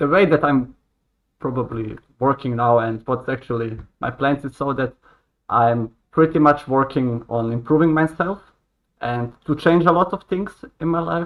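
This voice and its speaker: A man speaks in a Croatian accent at a moderate pace. He leaves long, frequent pauses. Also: fairly high pitch for a man, ordinary pitch variation. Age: 20s. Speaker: hotel worker. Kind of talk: casual interview chat. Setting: live stream video call.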